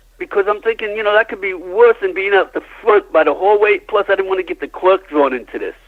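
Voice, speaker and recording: A very fast male voice, high in pitch, with ordinary pitch variation, hardly any pauses and noticeable background noise. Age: 70s. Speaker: crime witness. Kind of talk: interview.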